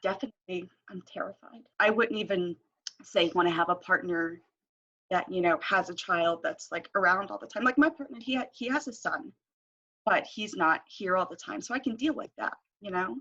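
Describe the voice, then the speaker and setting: A woman with a medium-pitched, bright, sharp voice talks at a moderate pace, her pitch swinging very widely. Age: 20s. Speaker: former foster youth. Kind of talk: interview. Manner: voice wavers and cracks.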